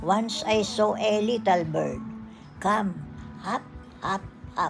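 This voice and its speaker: Over background music, a woman speaks very slowly at a fairly high pitch, her intonation flat and monotone. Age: 80s+. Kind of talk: poetry reading.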